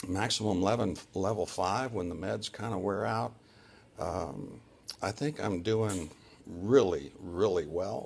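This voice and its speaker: A man speaks very slowly in a very deep, low voice with vocal fry. Long, frequent pauses break up his lively intonation. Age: 60s. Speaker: surgery patient vlogger. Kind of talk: personal video diary. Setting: hospital room.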